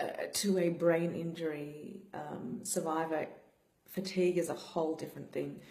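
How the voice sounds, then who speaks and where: With audible room echo, a woman speaks at a moderate pace in a fairly low, dark, mellow voice with vocal fry and fairly even intonation. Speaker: brain injury survivor vlogger. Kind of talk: personal vlog talk. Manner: slurred speech; flat, low energy.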